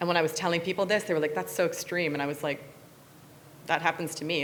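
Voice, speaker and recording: With an American accent, a woman talks in an animated tone at a very deep, low pitch. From US Midwest, near Chicago. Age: 40s. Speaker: technology researcher and speaker. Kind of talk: motivational talk to students.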